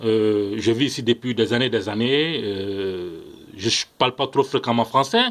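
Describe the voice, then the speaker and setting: Ordinary pitch variation at a fairly slow pace, over noticeable background noise. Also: man. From Ivory Coast. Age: young. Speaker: political commentator vlogger. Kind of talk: video monologue. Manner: hesitant, frequent fillers; impassioned.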